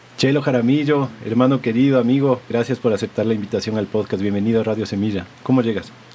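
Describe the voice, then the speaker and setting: Someone talks at a very fast pace, with hardly any pauses and fairly even intonation. Noticeable background noise runs under the voice. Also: man, medium pitch for a man. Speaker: podcast host. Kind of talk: podcast interview.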